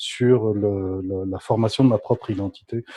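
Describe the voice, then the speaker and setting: Ordinary pitch variation shapes the somewhat breathy speech of a man. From France, Paris. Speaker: graduate student and body psychotherapist. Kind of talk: podcast interview.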